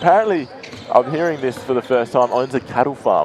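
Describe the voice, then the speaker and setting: A man talks at a moderate pace in an Australian accent. Background noise is noticeable. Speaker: basketball commentator. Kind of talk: live commentary.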